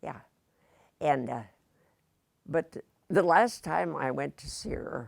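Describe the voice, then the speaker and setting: Speaking very slowly with a Midwestern US accent, a woman has a very deep, low pitch, vocal fry, very wide pitch swings, big swings in loudness and long, frequent pauses. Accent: US Midwest. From Indiana. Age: 80s+. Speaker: retired teacher. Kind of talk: interview.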